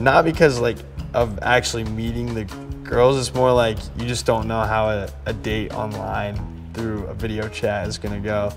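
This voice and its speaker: Clear music plays in the background as a man speaks at a fairly low pitch and a moderate pace. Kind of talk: interview answer. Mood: relaxed, slightly nervous. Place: home room.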